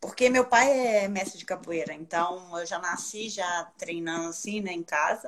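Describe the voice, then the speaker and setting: A woman with a medium pitch speaks at a fairly slow pace with hardly any pauses, ordinary pitch variation, and big swings in loudness over noticeable background noise. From Brazil, Minas Gerais. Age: 40s. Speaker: ultramarathon runner. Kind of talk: casual chat. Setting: video call.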